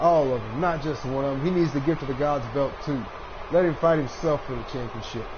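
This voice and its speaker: Noticeable background noise and audible room echo surround a man with an American accent who speaks at a fairly high pitch and a fairly quick pace. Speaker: gaming live streamer. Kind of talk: live gameplay commentary. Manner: casual, halting with fillers.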